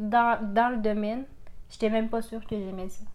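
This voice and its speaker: At a moderate pace, a woman with a Quebec accent speaks at a fairly high pitch. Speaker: podcast co-host. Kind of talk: casual chat.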